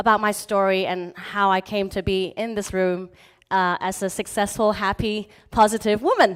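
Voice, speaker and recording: The speaker has a slight British accent, captured on a very clean recording with a silent background. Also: woman. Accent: slight British twang. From Hong Kong, schooled in England from age nine. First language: Chinese. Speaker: motivational speaker. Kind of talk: motivational talk.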